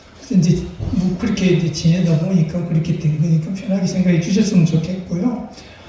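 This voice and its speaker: Against noticeable background noise and audible room echo, a man speaks in a high voice with fairly even intonation. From Jinju, South Gyeongsang, Korea. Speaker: author and lecturer. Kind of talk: public lecture. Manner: hesitant with fillers and stutters.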